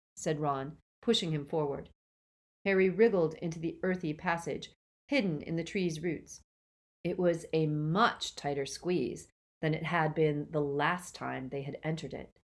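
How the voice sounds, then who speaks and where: Using a plain, everyday voice, a woman speaks at a fairly slow pace with a fairly low pitch. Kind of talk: audiobook-style dramatic narration of a novel, reading aloud with character voices.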